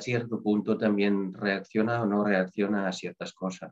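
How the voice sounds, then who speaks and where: Intonation stays fairly even for this man. He has an unremarkable speaking voice at a medium pitch. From Netherlands. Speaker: nurse. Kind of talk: interview.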